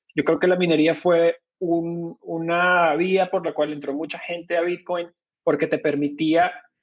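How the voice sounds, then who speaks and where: With a Venezuelan accent, a man talks at a fairly slow pace in a high pitch and a flat, monotone delivery. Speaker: bitcoin company co-founder. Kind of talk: podcast interview. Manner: hesitant, many fillers.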